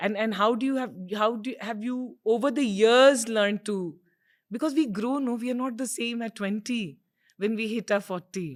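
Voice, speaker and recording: A woman's fairly high voice in an Indian accent, with ordinary pitch variation and a moderate pace, on a very clean recording with a silent background. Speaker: podcast host. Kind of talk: interview.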